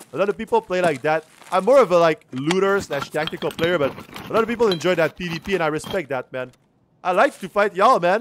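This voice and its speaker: Against noticeable background noise, a man rattles along at a very fast pace in a high pitch with lively intonation. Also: dry sound with no echo. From Quebec, Canada. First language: French. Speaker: video game streamer. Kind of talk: live gameplay commentary. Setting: livestream. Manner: casual, chatty. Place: home room.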